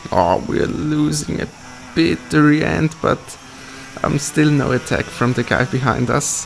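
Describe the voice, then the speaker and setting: At a fairly slow pace, the pitch makes very wide swings while noticeable background noise sits underneath. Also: man, medium pitch for a man. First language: not English. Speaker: kart racer. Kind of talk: live commentary over onboard footage. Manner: hesitant, many fillers.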